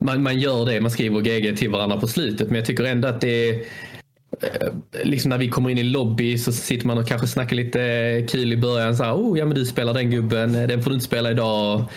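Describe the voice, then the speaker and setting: A man talks at a fairly quick pace and medium pitch, in monotone, flat intonation. His loudness is very even, and there is noticeable background noise. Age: 30s. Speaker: esports player. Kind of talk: casual podcast interview.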